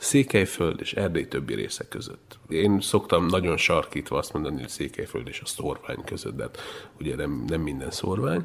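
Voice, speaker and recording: Vocal fry runs through this man's voice. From Transylvania, Romania (Hungarian diaspora area). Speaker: radio journalist and podcaster. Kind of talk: interview conversation.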